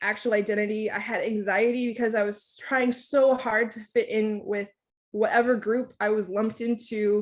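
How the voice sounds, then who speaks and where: A woman with a Californian accent speaks in a fairly high voice with fairly even intonation. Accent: American English, California. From Southern California (Oceanside, San Diego area), Thai-American family. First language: Thai. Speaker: scientist. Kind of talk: lecture. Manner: hesitant, many filler ums.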